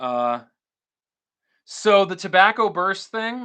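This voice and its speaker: With an American accent, a man speaks in a raised, projected voice with a bright, sharp tone and lively intonation against a quiet background. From Florida, Tampa Bay. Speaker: guitar YouTuber and live streamer. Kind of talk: casual live stream chat. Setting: live stream at home. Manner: loud; energetic.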